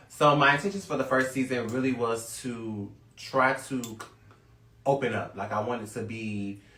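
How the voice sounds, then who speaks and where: Recorded with audible room echo, a man talks at a medium pitch with an American accent. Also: ordinary pitch variation, moderate pace. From US South, Lake City, Florida. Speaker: reality TV cast member. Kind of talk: casual interview.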